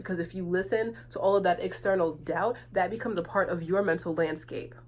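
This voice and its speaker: A woman with vocal fry speaks at a fairly low pitch and a moderate pace. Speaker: tarot and oracle card reader. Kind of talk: spiritual guidance monologue.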